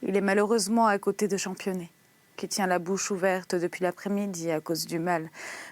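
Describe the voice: The intonation changes only a little. Someone reads aloud plainly.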